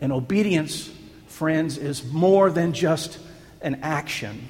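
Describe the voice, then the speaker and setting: There is audible room echo as a man speaks at a fairly high pitch and a very slow pace. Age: 40s. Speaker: pastor. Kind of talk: sermon.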